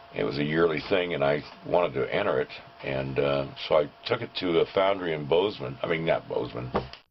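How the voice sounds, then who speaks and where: A man talks at a moderate pace while noticeable background noise plays underneath. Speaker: sculptor. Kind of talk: casual talk to camera. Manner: hesitant, rambling.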